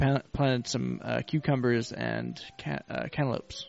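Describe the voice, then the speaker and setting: A man talks at a very slow pace while noticeable background noise continues behind him. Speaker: podcast co-host. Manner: jovial, sounds like having a good time.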